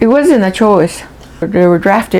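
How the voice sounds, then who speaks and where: A woman talks over noticeable background noise. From Acoma Pueblo, New Mexico. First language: Acoma Keres. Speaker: Native elder. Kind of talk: interview. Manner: halting.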